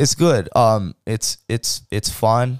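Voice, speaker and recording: In a very clean recording with a silent background and a dry, close sound with no echo, a man with a fairly low pitch speaks with vocal fry. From Hawaii, Kauai. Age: 20s. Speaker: podcast host. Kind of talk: casual chat.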